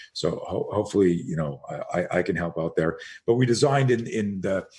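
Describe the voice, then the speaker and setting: A man with a Canadian accent talks at a fairly quick pace. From Montreal, Canada. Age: 60s. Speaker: self-defense instructor. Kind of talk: podcast interview. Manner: animated.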